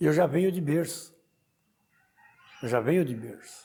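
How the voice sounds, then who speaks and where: A man with a fairly high voice speaks at a fairly slow pace with lively intonation. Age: 60s. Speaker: Umbanda priest. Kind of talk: interview testimony.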